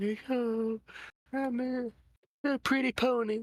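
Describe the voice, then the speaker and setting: Someone mumbles in a put-on character voice at a fairly high pitch and a fairly slow pace. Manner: sleepy, mumbling.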